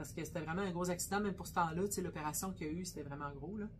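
At a very fast pace, a woman speaks in a medium pitch with a somewhat breathy sound. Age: 50s. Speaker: butcher shop owner and podcast co-host. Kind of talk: casual chat.

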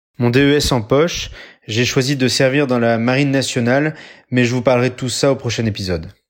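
With a plain, everyday voice at medium pitch, a man speaks fairly quickly and with fairly even intonation in a very clean recording with a silent background. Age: 30s. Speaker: military doctor. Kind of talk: scripted narration.

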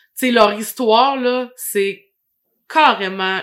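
At a very slow pace, a woman with a Quebec accent speaks with a fairly high pitch, a bright, sharp tone and ordinary pitch variation. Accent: Québécois French. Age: 30s. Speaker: podcast host. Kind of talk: casual interview; scripted monologue intro.

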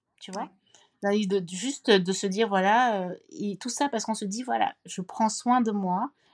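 An unremarkable speaking voice from a woman, medium in pitch with ordinary pitch variation, dry and close with no echo, on a very clean recording with a silent background. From Cameroon. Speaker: social entrepreneur and author. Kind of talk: casual interview conversation.

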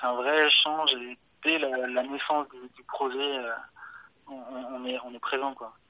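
Over noticeable background noise, a man at medium pitch speaks with monotone, flat intonation, long, frequent pauses and big swings in loudness. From France, Auvergne countryside near Clermont-Ferrand. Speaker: watch development engineer. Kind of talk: casual interview. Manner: halting, many repetitions.

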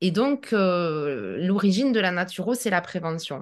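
Against a quiet background, a woman with an unremarkable speaking voice talks at a medium pitch with lively intonation. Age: 40s. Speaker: naturopath. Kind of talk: interview.

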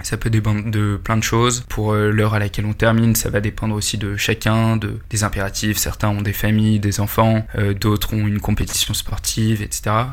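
A man speaks at a moderate pace with hardly any pauses. His voice is fairly low, and his intonation is monotone and flat. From Paris, France. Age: 20s. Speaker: employee of a gaming company. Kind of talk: podcast interview. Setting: meeting room.

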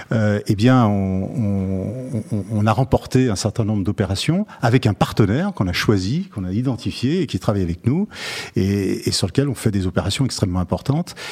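A man speaks at a moderate pace in a dark, mellow tone. His pitch is fairly low, with ordinary variation. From Lyon, France. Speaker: company chairman. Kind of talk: interview. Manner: hesitant, repeats words.

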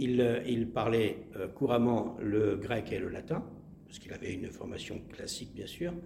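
Amid audible room echo, a man talks at a fairly slow pace in a medium-pitched, somewhat breathy voice with a dark, mellow tone, ordinary pitch variation, and big swings in loudness. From Marseille, southern France. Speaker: actor and playwright. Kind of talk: interview. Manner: halting, repeats words.

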